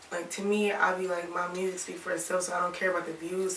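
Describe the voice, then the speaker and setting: In a room with audible echo and noticeable background noise, a woman talks with an American accent. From Toledo, Ohio (born Alabama, ties to Tennessee). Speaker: rapper. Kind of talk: interview. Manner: casual, many fillers.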